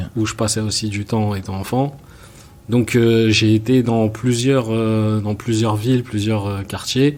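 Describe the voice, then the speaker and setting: At a very slow pace, a man speaks in monotone, flat intonation at a medium pitch. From France, Seine-Saint-Denis (Paris suburbs). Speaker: film and music video director. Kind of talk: interview. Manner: hesitant, many fillers.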